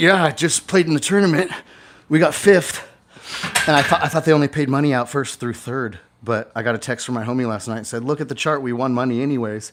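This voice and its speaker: Speaking at a very fast pace, a man keeps a medium pitch and ordinary pitch variation. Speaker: real estate investor and event host. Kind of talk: casual chat. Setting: home garage gym, livestream. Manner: loud; animated.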